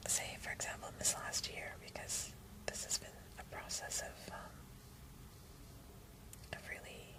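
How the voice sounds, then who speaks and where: Against noticeable background noise, a woman whispers at a moderate pace with long, frequent pauses. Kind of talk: personal rambling vlog. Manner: whispered.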